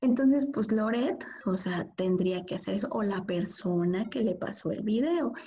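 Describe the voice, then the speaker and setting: With an unremarkable speaking voice, a woman of medium pitch talks at a fairly slow pace using lively intonation. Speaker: podcast co-host. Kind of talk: casual chat.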